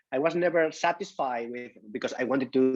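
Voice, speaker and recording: Fairly even in intonation, a man's medium-pitched voice moves at a moderate pace. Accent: Spanish. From southern Spain, Huelva. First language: Spanish. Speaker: magician. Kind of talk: casual interview. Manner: halting, many fillers and restarts.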